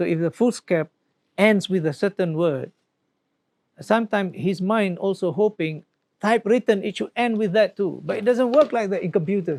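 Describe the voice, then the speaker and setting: Recorded with a dry, close sound and no echo, a man talks at a moderate pace in a high pitch, his pitch varying in an ordinary way. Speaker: professor. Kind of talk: panel book discussion. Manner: hesitant, many fillers.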